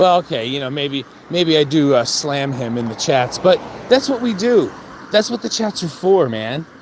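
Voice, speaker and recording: Amid noticeable background noise, a fairly high-pitched man speaks at a moderate pace with very wide pitch swings. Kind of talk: casual talk to camera, trash-talk promo. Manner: confrontational, rambling.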